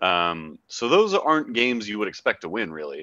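A man with an American accent and a bright, sharp tone at a moderate pace, the sound dry with no echo. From Oakland, California, US; California. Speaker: soccer podcast co-host. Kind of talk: casual sports chat. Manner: hesitant, many fillers. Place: home room. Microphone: headset.

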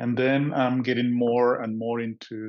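Against a quiet background, a man talks with a Spanish accent. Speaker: meditation group participant and proofreader. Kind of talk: personal sharing. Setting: video call. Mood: calm, reflective. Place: home room. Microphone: video call.

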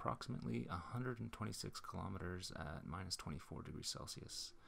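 There is vocal fry in this man's voice. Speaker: electric car owner. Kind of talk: scripted narration.

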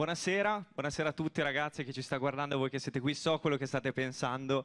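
The background stays quiet. A man speaks very fast. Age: 20s. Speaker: radio presenter. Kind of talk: stage interview. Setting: stage with audience. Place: stage. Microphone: handheld.

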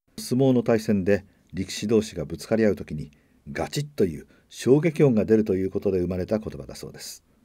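The voice has a dark, mellow tone and very wide pitch swings. It moves at a fairly quick pace. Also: man. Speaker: freelance announcer. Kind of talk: sleep-aid trivia narration.

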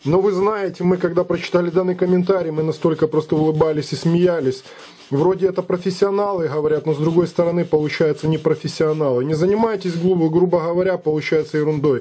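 A man with a dark, mellow tone speaks at a very fast pace and a high pitch. His loudness stays very even and his intonation fairly even. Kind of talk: tutorial. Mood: amused, dismissive of critics. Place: workshop. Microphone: phone near.

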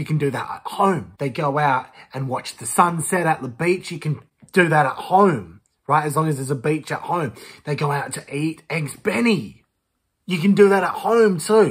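Against a quiet background, a man with an Australian accent talks at a moderate pace in a fairly high voice, his tone animated and his intonation lively. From Western Australia. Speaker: YouTuber, reaction commentator. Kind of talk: reaction commentary. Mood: sarcastic, exasperated. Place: home room. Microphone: phone near.

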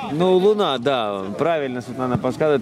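This man's voice sits fairly high in pitch for a man. Noticeable background noise can be heard. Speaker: football commentator. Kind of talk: live commentary. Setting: outdoors.

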